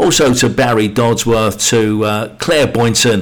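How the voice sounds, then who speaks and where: A man delivers his words fairly slowly with noticeable background noise present. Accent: British. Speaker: radio DJ. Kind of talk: radio DJ patter. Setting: radio studio broadcast. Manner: warm, friendly, chatty.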